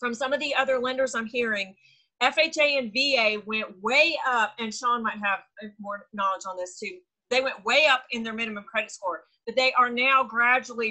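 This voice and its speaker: A woman's high-pitched voice with a bright, sharp tone, moderate pace, and ordinary pitch variation against a quiet background. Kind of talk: meeting update talk. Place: home room. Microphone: video call.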